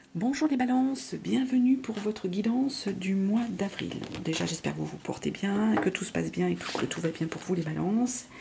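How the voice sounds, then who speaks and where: Over noticeable background noise, the speaker talks in a soft-spoken way. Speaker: tarot reader. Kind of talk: tarot reading. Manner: soft, hard to hear; hesitant, many fillers.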